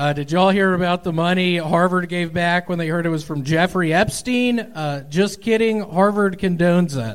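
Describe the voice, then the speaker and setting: At a moderate pace with hardly any pauses, a man speaks at a high pitch with ordinary pitch variation over noticeable background noise. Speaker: stand-up comedian. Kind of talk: live comedy show banter. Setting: stage with audience.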